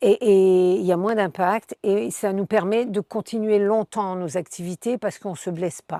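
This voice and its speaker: Speaking at a fairly slow pace with hardly any pauses, a woman has a medium pitch and a dark, mellow tone. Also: ordinary pitch variation, very clean recording, silent background. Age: 60s. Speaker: charity president. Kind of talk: interview. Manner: halting, many fillers and repetitions.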